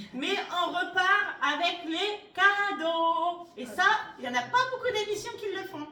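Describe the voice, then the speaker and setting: A woman talks at a very slow pace in an extremely high, shrill, raised and projected voice. Her intonation is lively, her loudness swings widely, and the room echo is audible. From northern France, Soissons (Aisne). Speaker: game show contestant. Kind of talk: radio interview. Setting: radio studio. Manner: animated.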